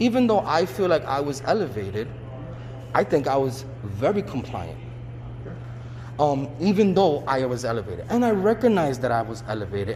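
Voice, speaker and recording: Loud and at a fairly quick pace, a man speaks at a medium pitch with very wide pitch swings over noticeable background noise. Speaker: civilian filing police complaint. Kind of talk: complaint conversation.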